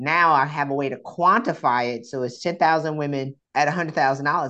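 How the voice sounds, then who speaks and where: Talking at a very fast pace, a woman with an American accent has a very deep, low pitch and a bright, sharp tone. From South Carolina, US. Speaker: executive coach and author. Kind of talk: interview conversation. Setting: remote call from the Bahamas. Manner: animated, self-described loud.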